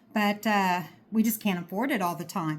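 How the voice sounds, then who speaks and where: The speaker is a woman. A somewhat breathy quality runs through her voice. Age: 50s. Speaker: homesteader. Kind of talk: casual vlog talk. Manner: casual, chatty.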